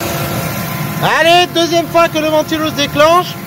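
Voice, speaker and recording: A loud man speaks with very wide pitch swings. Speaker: car DIY youtuber. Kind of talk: casual tutorial vlog. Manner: casual, hesitant.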